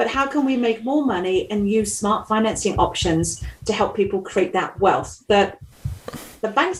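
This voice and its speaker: In an English accent, a woman with a fairly high pitch speaks at a moderate pace over noticeable background noise. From England. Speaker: mortgage broker. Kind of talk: podcast interview. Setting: video call.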